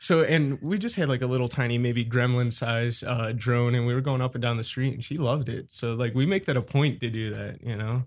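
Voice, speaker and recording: A man with an Ohio accent speaks fairly quickly at a medium pitch, with ordinary pitch variation and hardly any pauses. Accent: Midwestern American (Ohio). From Cleveland, Ohio. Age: 20s. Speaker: drone racer and quad builder. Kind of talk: casual chat.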